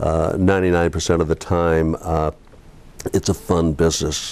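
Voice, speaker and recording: A man's very deep, low voice, dark and mellow in tone, flat and monotone at a moderate pace. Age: 60s. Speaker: real estate broker. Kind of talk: interview. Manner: halting, many fillers.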